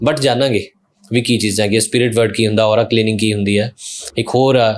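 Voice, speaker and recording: On a very clean recording with a silent background, a man at medium pitch speaks with a Punjabi accent in monotone, flat intonation. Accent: Punjabi-accented Hindi. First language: Punjabi (speaking Hindi). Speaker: podcast host. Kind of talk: casual interview chat.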